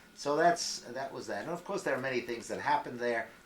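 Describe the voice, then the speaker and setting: A man speaks at a fairly quick pace with lively intonation. Noticeable background noise sits behind him. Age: 80s+. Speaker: retired adult educator. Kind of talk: family interview. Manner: halting.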